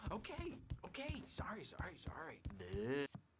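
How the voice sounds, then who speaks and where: A man's put-on character voice, fairly high-pitched. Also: moderate pace. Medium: video game. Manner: mocking, erratic.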